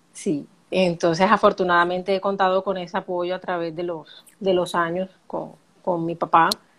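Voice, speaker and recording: Her voice stays flat and monotone, sitting fairly low as this woman talks at a moderate pace. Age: 30s. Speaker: accountant. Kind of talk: personal testimony in interview. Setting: live video stream.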